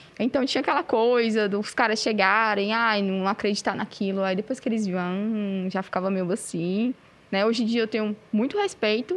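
A woman with a fairly high pitch and ordinary pitch variation uses an ordinary speaking voice. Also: moderate pace. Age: 30s. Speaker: metal band vocalist. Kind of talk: casual chat. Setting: cultural centre recording with production crew.

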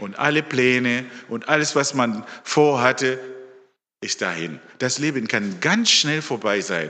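With a bright, sharp tone, a man at a medium pitch speaks very slowly with lively intonation amid audible room echo. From Zimbabwe. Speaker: lay preacher. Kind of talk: sermon.

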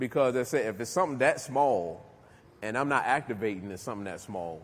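Here is an unremarkable speaking voice from a man with an American accent. He talks at a fairly quick pace and medium pitch, with lively intonation. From Newark, New Jersey. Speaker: recovery speaker, former prisoner. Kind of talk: motivational talk to jail inmates. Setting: jail, live audience.

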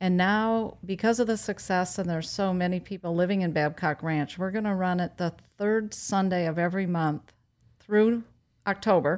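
A normal speaking voice, at a moderate pace with fairly even intonation, comes through a very clean recording with a silent background. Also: woman, medium pitch for a woman. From Wisconsin. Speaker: farmers market organizer. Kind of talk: casual interview.

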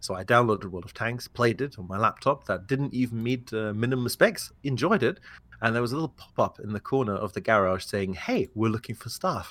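This man speaks with a British accent at a fairly quick pace. His pitch is medium, with ordinary pitch variation. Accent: British-sounding English. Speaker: game company community manager. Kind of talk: podcast interview. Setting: remote podcast recording.

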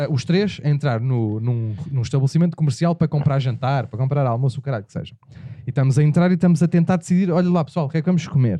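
A man's dark, mellow, somewhat breathy voice runs very fast at a fairly high pitch, with big swings in loudness. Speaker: podcast host. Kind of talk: casual comedic chat.

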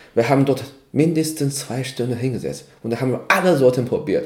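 A man talks with a Chinese accent. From China. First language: Chinese (speaking German). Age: 30s. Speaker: cultural exchange organizer. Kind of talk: casual interview. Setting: evening tea session. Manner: halting, many fillers.

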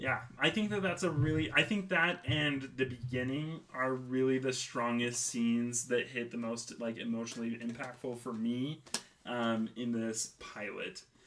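With a normal speaking voice at medium pitch, a man talks with hardly any pauses. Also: ordinary pitch variation, moderate pace. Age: 20s. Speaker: podcast host and illustrator. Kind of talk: casual chat.

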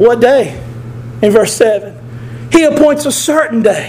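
Noticeable background noise sits under a very slow voice with a Southern US accent. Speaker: preacher. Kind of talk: sermon. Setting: church. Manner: loud; animated.

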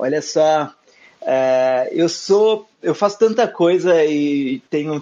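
With a normal speaking voice pitched fairly high, this man shows ordinary pitch variation. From southern Minas Gerais, Brazil (small interior town). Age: 20s. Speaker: podcaster, music curator and DJ. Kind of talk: casual chat.

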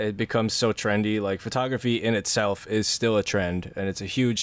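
An unremarkable speaking voice with an American accent, fairly even intonation and a fairly quick pace, on a very clean recording with a silent background. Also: man. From New Jersey, US. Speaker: podcast host. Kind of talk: casual interview chat.

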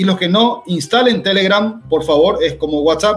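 At a moderate pace, a man speaks in a high voice with ordinary pitch variation amid noticeable background noise. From Paraguay. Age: 40s. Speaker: cybersecurity expert. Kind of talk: educational talk.

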